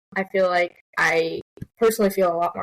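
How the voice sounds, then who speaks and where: A woman speaks at a medium pitch with fairly even intonation, in a dry, close sound with no echo. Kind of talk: casual conversational. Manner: fast talker.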